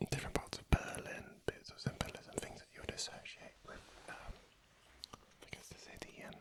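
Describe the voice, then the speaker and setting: Whispered speech comes at a moderate speed amid noticeable background noise. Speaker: ASMR creator. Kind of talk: relaxed ASMR ramble. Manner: soft-spoken.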